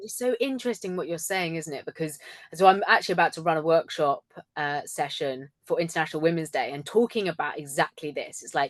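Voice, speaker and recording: A woman talks at a very fast pace in a fairly low pitch with ordinary pitch variation. The sound is dry and close, with no echo. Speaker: communication coach and speaker. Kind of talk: casual chat. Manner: animated.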